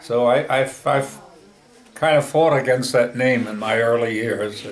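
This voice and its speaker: Noticeable background noise sits behind this recording. A man with an American accent speaks at a fairly slow pace with fairly even intonation. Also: medium pitch for a man. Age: 80s+. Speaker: grandfather being interviewed by his daughter. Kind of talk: interview answer.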